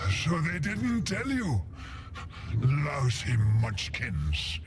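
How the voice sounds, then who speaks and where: In a put-on character voice, a man sounds hoarse and croaky at a medium pitch. He goes at a very slow pace over loud background noise. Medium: video game.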